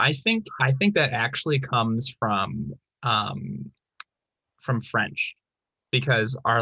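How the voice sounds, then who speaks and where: This man has an American accent, a medium pitch, a bright, sharp tone and vocal fry. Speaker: teacher and video host. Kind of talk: casual chat.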